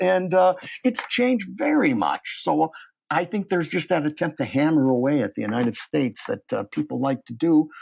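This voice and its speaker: Over a quiet background, a man speaks. His pitch swings very widely. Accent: Midwestern. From US Midwest, Cleveland. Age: 70s. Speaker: professor. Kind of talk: interview.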